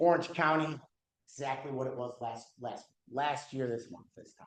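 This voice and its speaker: At a moderate pace, a man delivers his words. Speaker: real estate broker leading office meeting. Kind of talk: office meeting talk. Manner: loud; animated.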